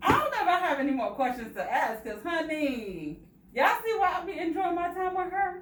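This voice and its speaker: A woman's extremely high-pitched voice with very wide pitch swings over noticeable background noise. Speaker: loc stylist. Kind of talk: casual talk to camera. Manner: excited.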